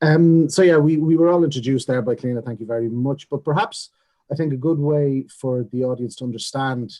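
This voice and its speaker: With an Irish Midlands accent, a man speaks fairly quickly at a fairly high pitch and ordinary pitch variation. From Ireland, Longford. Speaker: panel chair. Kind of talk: panel moderation. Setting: zoom webinar.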